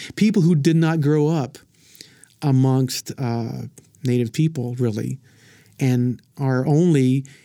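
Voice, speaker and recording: A man with an Oklahoma accent speaks at medium pitch in a dark, mellow tone with ordinary pitch variation, on a very clean recording with a silent background. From southern Oklahoma (Frederick). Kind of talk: casual chat. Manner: halting, many repetitions and fillers.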